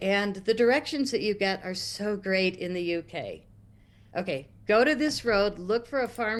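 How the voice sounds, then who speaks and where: An ordinary speaking voice from a woman with an American accent, medium pitch, ordinary pitch variation and a moderate pace, over a quiet background. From United States. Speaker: guest on talk stream. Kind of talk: storytelling.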